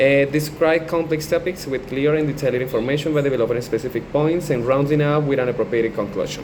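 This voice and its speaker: With a Colombian accent, a man speaks very fast at a fairly high pitch, hardly pausing, his loudness very even and his intonation fairly even, over noticeable background noise. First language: Spanish. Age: 20s. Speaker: language student and English teacher. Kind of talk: class assignment video, partly reading aloud. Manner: halting, with fillers.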